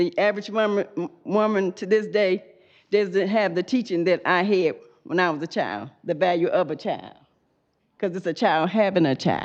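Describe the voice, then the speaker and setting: An ordinary speaking voice from a woman, medium in pitch and moderate in pace, with ordinary pitch variation. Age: 60s. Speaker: public commenter. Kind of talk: public comment at meeting.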